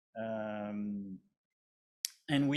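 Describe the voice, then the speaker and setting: A man with a French accent. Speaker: company representative presenting a project. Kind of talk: conference presentation. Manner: halting, many fillers and repetitions.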